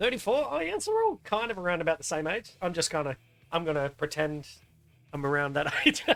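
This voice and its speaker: Over music in the background, the speaker talks at a fairly quick pace in an Australian accent. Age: 30s. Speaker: gaming streamer. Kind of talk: casual live-stream chat while gaming.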